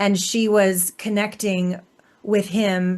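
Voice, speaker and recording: A woman talks against a quiet background. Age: 50s. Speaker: podcast host. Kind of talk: casual chat. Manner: animated.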